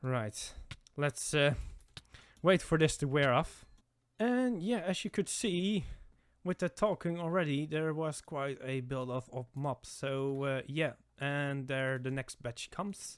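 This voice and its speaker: Speech comes at a very slow pace in a non-native accent. The recording is very clean, with a silent background. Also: man, fairly high pitch for a man, ordinary pitch variation. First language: not English. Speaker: gaming content creator. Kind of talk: gameplay commentary. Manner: halting, many fillers and restarts.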